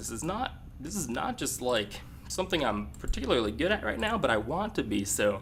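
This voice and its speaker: The voice carries vocal fry, with audible room echo around it. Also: man. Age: young. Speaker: video game commentator. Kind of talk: casual chat; live commentary. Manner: hesitant, many fillers.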